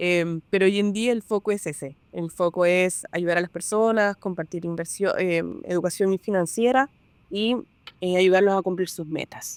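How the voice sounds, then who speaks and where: A woman speaks at a fairly slow pace in a plain, everyday voice. Her pitch sits in the medium range with ordinary variation. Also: dry, close sound with no echo. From Peru. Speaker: real estate broker. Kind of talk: podcast interview.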